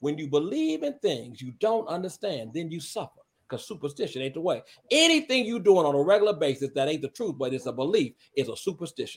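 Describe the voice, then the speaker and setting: An American-accented man, fairly high-pitched, at a very fast pace with lively intonation and hardly any pauses. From Chicago, South Side. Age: 60s. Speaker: radio host. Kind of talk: casual chat.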